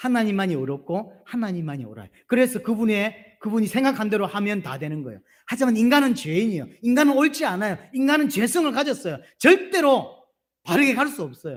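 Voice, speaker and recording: The speaker moves at a fairly quick pace with very wide pitch swings and big swings in loudness, in a very clean recording with a silent background. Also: man, high pitch for a man. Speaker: pastor. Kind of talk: sermon. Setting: church.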